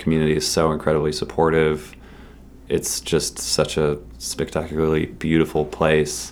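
This man has a very deep, low voice with vocal fry and an American accent. His delivery is monotone and flat at a moderate pace. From Massachusetts. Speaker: film festival staff. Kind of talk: interview.

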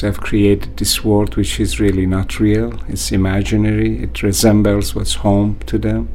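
Speaking fairly slowly with hardly any pauses, a man with a very deep, low pitch makes very wide pitch swings amid audible room echo and noticeable background noise. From Iran, Kurdish border town. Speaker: author and university administrator. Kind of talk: interview.

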